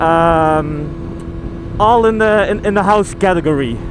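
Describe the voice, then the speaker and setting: A man talks at a high pitch with ordinary pitch variation. Audible room echo and noticeable background noise surround his voice. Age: young. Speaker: motovlogger, construction worker. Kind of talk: casual vlog monologue. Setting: riding a motorcycle outdoors. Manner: halting, many fillers.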